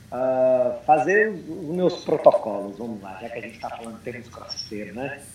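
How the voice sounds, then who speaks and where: Lively intonation marks this man's speech, heard over noticeable background noise. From Brazil and United States. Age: 30s. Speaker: CrossFit coach. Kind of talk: casual chat.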